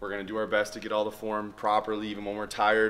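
The man's pitch sits fairly low. He talks very quickly. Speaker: fitness vlogger. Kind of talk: casual vlog chat. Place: gym. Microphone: camera far.

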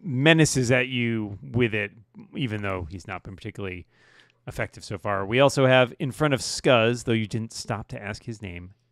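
Against a quiet background, a man's voice shows big swings in loudness and ordinary pitch variation, the sound dry with no echo. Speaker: co-dungeon master. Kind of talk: tabletop role-playing game narration and banter. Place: home room. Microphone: video call.

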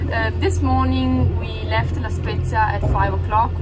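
A woman keeps a moderate pace despite loud background noise. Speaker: sailing vlogger. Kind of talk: casual vlog chat. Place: boat. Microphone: phone near.

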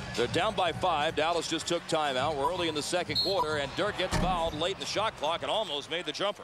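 A man speaks at a very fast pace in a high pitch, with ordinary pitch variation and very even loudness. Noticeable background noise runs underneath. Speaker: play-by-play basketball announcer. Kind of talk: live TV play-by-play basketball commentary. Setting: arena broadcast booth with loud crowd. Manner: brisk, rapid-fire calling of each possession; rising excitement on big plays, exclamatory.

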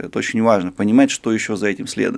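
The man speaks at a very fast pace with ordinary pitch variation. The background is quiet. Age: 30s. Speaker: sinologist, China expert; guest. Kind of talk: interview. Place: studio. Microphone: studio mic.

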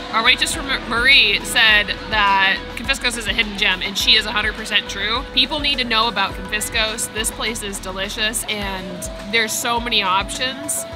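Clear music plays in the background as a woman talks with ordinary pitch variation. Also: moderate pace. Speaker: vlogger. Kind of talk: casual vlog chat. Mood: enthusiastic, happy. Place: street. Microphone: phone near.

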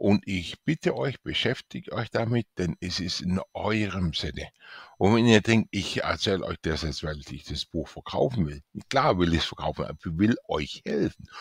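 In a very clean recording with a silent background, a man with a normal speaking voice talks at a moderate pace with lively intonation. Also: fairly low pitch for a man. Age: 60s. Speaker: author and IT specialist promoting his book. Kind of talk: sales pitch.

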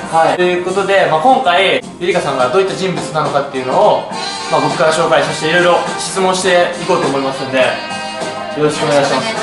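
Over clear music in the background and audible room echo, a man talks at a very fast pace. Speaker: interviewer, channel host. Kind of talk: interview questions to camera. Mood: cheerful, smiling. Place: shop. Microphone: phone near.

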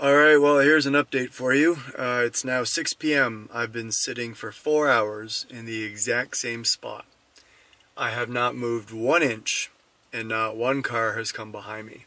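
Dry sound with no echo, a bright, sharp tone, fairly even intonation and a fairly slow pace. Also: man. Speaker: road trip vlogger. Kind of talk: casual vlog chat. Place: car. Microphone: phone near.

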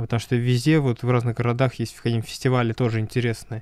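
A man's monotone, flat delivery, dry with no echo, against a quiet background. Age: 20s. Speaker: podcast host and music student; podcast guest. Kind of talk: interview; interview answer. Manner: halting, many filler sounds. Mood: calm, friendly. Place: studio. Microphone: studio mic.

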